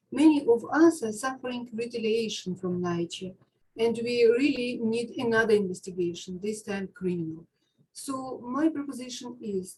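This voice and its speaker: Speaking with an Eastern European accent, a woman talks at a moderate pace. Her voice is fairly high, with lively intonation. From Ukraine. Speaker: public housing tenant, caller. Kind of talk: public comment at community meeting. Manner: halting.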